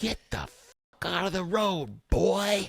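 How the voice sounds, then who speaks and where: A raspy, put-on character voice at a middle pitch and a very slow pace. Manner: shouting, hostile.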